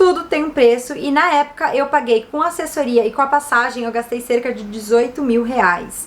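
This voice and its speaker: A woman's upbeat, fairly quick speech in a São Paulo accent, lively in intonation, over noticeable background noise. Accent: Brazilian Portuguese, São Paulo. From São Paulo city, Brazil. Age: 30s. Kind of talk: casual talk to camera.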